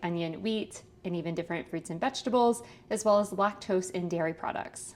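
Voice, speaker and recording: Speaking fairly quickly, a woman uses an ordinary speaking voice with ordinary pitch variation. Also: medium pitch for a woman. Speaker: registered dietitian and podcast host. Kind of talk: podcast ad read.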